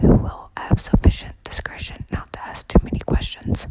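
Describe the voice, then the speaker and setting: Someone is whispering. The pace is moderate. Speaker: ASMR reader. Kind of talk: whispered audiobook reading of a mystery novel. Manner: whispered.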